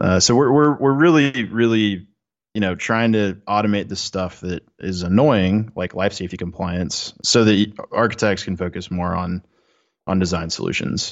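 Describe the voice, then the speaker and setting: A normal speaking voice, its pitch varying in an ordinary way, keeps to a moderate pace. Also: man, fairly low pitch for a man. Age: 20s. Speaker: software startup co-founder. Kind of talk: casual chat.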